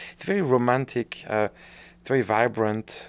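A man talks with a French accent at a moderate pace. His pitch sits in the medium range. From northern France. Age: 40s. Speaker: orchestra conductor. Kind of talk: interview. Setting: office, not a studio. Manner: cheerful, talkative.

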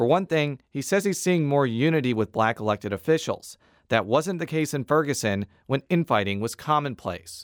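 At a moderate pace and with lively intonation, the speaker uses a normal speaking voice on a very clean recording with a silent background. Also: man, fairly high pitch for a man. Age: 30s. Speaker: political reporter and podcast host. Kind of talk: scripted narration. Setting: studio.

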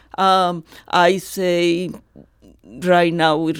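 The recording is very clean, with a silent background. A woman speaks at a fairly low pitch. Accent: strong Colombian. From Colombia, Barranquilla. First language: Spanish. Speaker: retired radiology professor. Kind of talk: radio interview.

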